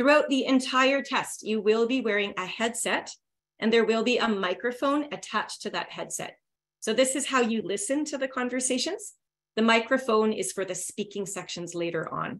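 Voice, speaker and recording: Here a woman talks in a Canadian accent. Her pitch sits fairly high. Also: ordinary pitch variation, moderate pace. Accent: native Canadian. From Northern Ontario, Canada. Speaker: English test prep teacher. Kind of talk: webinar lecture. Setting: online webinar.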